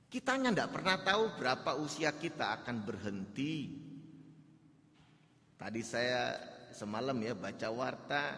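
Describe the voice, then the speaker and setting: With a Javanese accent, a man at a medium pitch speaks in a bright, sharp tone with lively intonation at a fairly slow pace, pausing long and often amid audible room echo. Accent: Javanese accent coming through. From Java, Indonesia. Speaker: pastor. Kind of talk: sermon. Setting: church.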